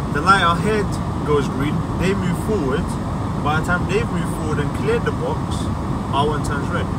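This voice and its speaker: A man at a moderate pace with long, frequent pauses, loud background noise and a dry sound with no echo. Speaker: car detailer vlogger. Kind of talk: vlog rant while driving, complaining about London traffic. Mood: frustrated, opinionated. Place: car. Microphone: phone near.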